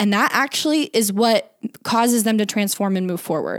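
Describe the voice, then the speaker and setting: A woman with a General American accent has an unremarkable speaking voice at medium pitch. She talks at a moderate pace with ordinary pitch variation. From Arizona. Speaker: digital media consultant and podcast host. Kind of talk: casual interview.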